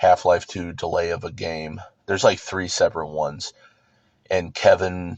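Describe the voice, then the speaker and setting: The pace of this man's speech is moderate. His voice sits very deep and low. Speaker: youtuber. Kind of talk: casual monologue vlog. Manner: monotone.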